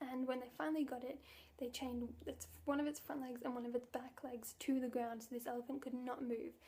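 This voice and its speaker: A soft-spoken woman talks at a fairly quick pace. Her high voice has a dark, mellow tone. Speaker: vegan vlogger. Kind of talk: casual talk to camera.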